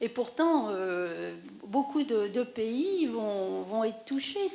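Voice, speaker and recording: Through noticeable background noise, a woman talks at a very slow pace. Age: 60s. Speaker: audience member. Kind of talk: post-screening discussion. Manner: halting.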